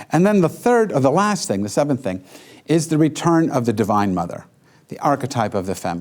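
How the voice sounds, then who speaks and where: With an American accent and vocal fry, a man talks fairly quickly at a fairly high pitch, his voice making very wide pitch swings. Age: 60s. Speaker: rabbi and lecturer. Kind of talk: lecture. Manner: animated.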